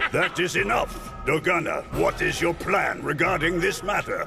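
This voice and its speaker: Over loud background music, a man does a cartoonish character voice at a moderate pace. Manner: stately, firm.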